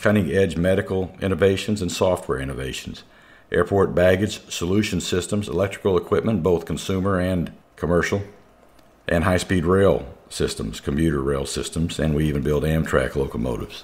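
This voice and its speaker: Quickening to a fairly quick pace, a man speaks with vocal fry at a very deep, low pitch and ordinary pitch variation. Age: 60s. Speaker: corporate safety director and radio show host. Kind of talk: prepared talk on a radio show.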